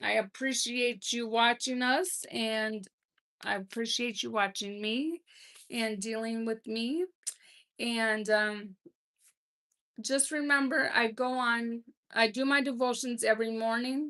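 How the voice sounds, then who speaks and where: Speaking at a very slow pace with long, frequent pauses, a woman uses a fairly high pitch and ordinary pitch variation. She has a Minnesotan accent, and the background is quiet. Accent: Minnesota. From Minnesota, US Midwest. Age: 50s. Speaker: livestream host, grandmother. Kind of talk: casual live chat reading comments. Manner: hesitant, many fillers.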